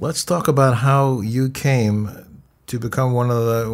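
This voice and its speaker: A man in a normal speaking voice. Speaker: radio interviewer and journalist. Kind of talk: radio interview. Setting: studio.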